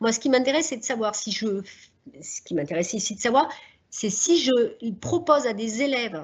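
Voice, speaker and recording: The speaker is a woman with a fairly high pitch. She talks at a moderate pace with lively intonation. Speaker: social psychologist, seminar speaker. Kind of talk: lecture.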